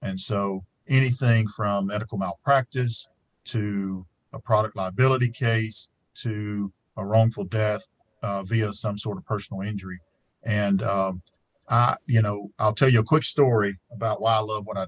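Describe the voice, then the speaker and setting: A man with an Alabama accent, fairly low pitch, fairly even intonation, moderate pace, and big swings in loudness. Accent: Southern US (Alabama). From US South, rural Alabama. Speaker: trial lawyer, panelist. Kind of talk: panel discussion.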